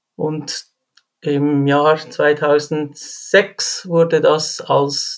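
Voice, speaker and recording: This man talks at a fairly high pitch in a Swiss accent. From Switzerland. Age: 40s. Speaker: railway firefighter. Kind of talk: interview.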